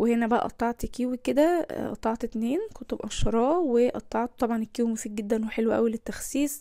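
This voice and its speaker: A fairly high-pitched woman's voice with a dark, mellow tone, a moderate pace, ordinary pitch variation and hardly any pauses. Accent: Egyptian. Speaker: lifestyle vlogger. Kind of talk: cooking vlog narration. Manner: casual, conversational.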